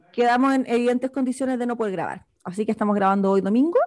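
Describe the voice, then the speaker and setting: Here a woman talks with a Chilean accent. Her pitch is fairly high. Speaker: podcast co-host. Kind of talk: casual chat.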